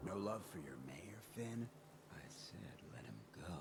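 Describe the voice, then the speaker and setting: Over loud background noise, a man uses a put-on character voice with a very deep, low pitch and a fairly slow pace. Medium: video game. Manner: cool, smooth.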